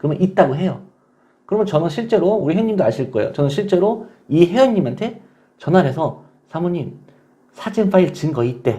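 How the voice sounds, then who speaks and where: A man's high, dark and mellow voice with very wide pitch swings. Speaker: online divorce-help community manager. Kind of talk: casual vlog talk to viewers.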